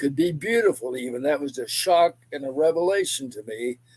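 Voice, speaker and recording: The sound is dry and close with no echo as a man speaks at a moderate pace with ordinary pitch variation. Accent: Texan. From East Texas. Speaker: pastor and civil rights activist. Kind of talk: interview testimony. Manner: halting.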